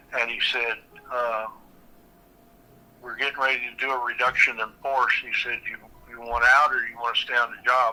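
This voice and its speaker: Delivered at a moderate pace, the speech stays monotone and flat, broken by long, frequent pauses. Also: man, medium pitch for a man, big swings in loudness. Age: 60s. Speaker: retired welder. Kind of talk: casual chat.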